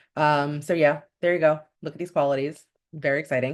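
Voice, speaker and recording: Against a quiet background, a woman talks at a very deep, low pitch. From US, Dominican-American family. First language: Spanish. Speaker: lifestyle vlogger. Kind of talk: casual vlog monologue. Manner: chatty, informal.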